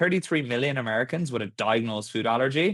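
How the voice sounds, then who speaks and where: With an Irish accent, a man talks at a fairly quick pace in a very clean recording with a silent background. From Ireland. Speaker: tech startup founder. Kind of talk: podcast interview.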